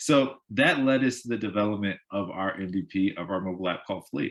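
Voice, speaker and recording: A man's fairly low voice carries lively intonation. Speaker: startup co-founder. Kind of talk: pitch presentation. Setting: live event streamed on Zoom and Facebook. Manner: fast.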